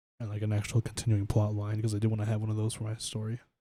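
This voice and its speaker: A soft-spoken man talks in a fairly low, dark and mellow voice that is somewhat breathy and flat, monotone in intonation. The recording is very clean, with a silent background. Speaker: streamer. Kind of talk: casual chat. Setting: live stream.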